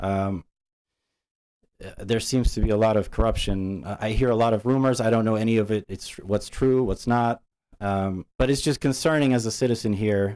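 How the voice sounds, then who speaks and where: A man talks at a moderate pace and medium pitch with a non-native accent. His tone is dark and mellow, his intonation fairly even, and the recording very clean with a silent background. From immigrant, grew up partly in US. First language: not English. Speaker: parent speaking at public comment. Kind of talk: public comment at school board meeting. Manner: halting, many fillers.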